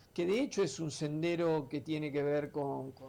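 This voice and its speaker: Talking at a fairly slow pace, a man has a plain, everyday voice with fairly high pitch. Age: 60s. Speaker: artist, painter and illustrator. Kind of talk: radio interview.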